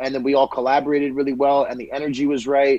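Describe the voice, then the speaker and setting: A fairly high-pitched man's voice with a dark, mellow tone and a Canadian accent. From Winnipeg, Canada. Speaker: hip hop artist. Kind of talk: interview.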